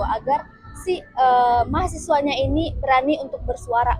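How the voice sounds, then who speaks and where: Against noticeable background noise, a woman with a Padang accent speaks at a high pitch. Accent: Padang (Minang) accent still present. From West Sumatra, Padang. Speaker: university student interviewee. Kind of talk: documentary interview. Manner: hesitant, many fillers.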